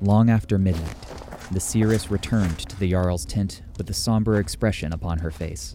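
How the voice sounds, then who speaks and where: The tone is solemn and dramatic, with ordinary pitch variation at a moderate pace. Background noise is noticeable. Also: man, very deep, low pitch for a man. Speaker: narrator. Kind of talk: saga narration, scripted storytelling. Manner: solemn, measured, dramatic.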